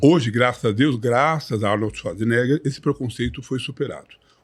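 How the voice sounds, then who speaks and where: A man talks in a somewhat breathy voice. His intonation is lively. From Brazil, São Paulo. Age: 60s. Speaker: retired bodybuilder. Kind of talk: podcast interview. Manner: articulate, measured.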